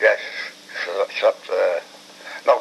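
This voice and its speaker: Noticeable background noise runs throughout. A man speaks at a moderate pace. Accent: Liverpool. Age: 80s+. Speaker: war veteran, former prisoner of war. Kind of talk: interview answer.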